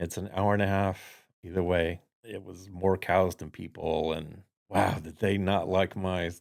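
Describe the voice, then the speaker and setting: A man speaks in a very deep, low voice with flat, monotone intonation at a fairly slow pace, his loudness swinging widely, on a very clean recording with a silent background. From Florida. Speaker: entrepreneurship network founder. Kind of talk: interview.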